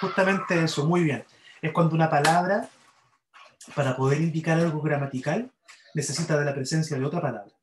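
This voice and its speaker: With a Chilean accent, a man speaks at a fairly quick pace, broken by long, frequent pauses. His pitch is fairly high with ordinary variation. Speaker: university English grammar teacher. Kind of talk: lecture.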